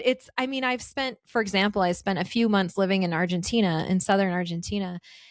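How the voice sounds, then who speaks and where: An ordinary speaking voice from a woman, medium in pitch, with ordinary pitch variation. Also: fairly quick pace. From western US (Lake Tahoe / Carson City, Reno area). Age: 40s. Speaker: travel podcaster and adventure traveler. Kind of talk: casual interview chat.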